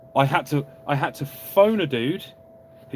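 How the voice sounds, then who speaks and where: Noticeable background noise runs under a man with a southern English accent. His fairly high pitch shows ordinary variation. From England, Oxford. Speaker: car YouTuber. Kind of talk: live stream Q&A. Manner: animated.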